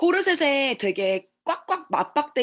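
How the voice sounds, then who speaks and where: In a very clean recording with a silent background, a woman's voice moves through very wide pitch swings. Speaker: network marketing distributor giving a talk. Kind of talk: seminar presentation. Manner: fast.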